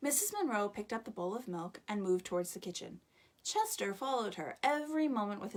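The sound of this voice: The intonation rises and falls in a lively way. It is an unforced reading voice.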